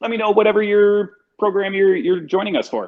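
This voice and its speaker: A man speaks very fast while music plays behind him. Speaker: college enrollment advisor. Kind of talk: live campus tour. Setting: walking tour of a college campus. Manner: casual, easygoing. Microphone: muffled by face mask.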